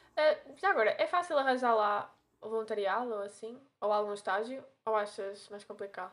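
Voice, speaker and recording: A woman with an unremarkable speaking voice talks at a moderate pace in a fairly high pitch. Her loudness swings a lot while her pitch varies in an ordinary way. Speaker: podcast host, veterinary student. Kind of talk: casual chat.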